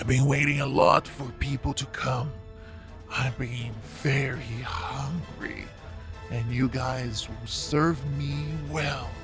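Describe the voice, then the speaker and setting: Fairly slow delivery in a put-on character voice, over clear background music. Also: man, medium pitch for a man. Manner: eerie, hungry.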